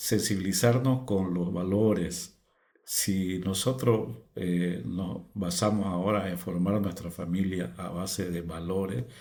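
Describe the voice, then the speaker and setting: The speech moves at a very slow pace, with audible echo in the room. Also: man. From Bolivia, Beni lowlands. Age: 60s. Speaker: fish farmer, former broadcaster. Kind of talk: testimony. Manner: halting.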